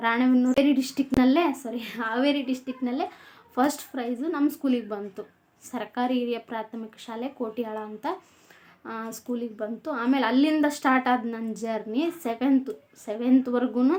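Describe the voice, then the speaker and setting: Her pitch sits high for a woman. The intonation barely rises or falls. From North Karnataka, Haveri district (Ranebennur). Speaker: vlogger. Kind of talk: casual vlog monologue.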